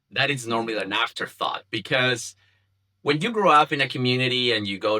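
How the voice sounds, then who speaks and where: A man speaks with a Spanish accent. His pitch variation is ordinary. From Chile. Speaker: community founder, communications professional. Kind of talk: podcast interview. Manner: halting, many fillers and repetitions.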